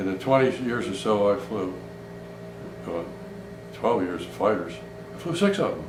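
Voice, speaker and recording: With an American accent, a man talks at a moderate pace with long, frequent pauses, amid noticeable background noise and audible room echo. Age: 80s+. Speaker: retired air force pilot, war veteran. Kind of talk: interview testimony. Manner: halting.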